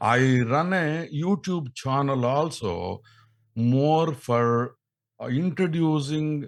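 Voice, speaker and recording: A man's medium-pitched voice at a very slow pace, very cleanly recorded against a silent background. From India, Andhra Pradesh. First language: Telugu. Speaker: radio actor and scientist. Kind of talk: podcast interview. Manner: halting.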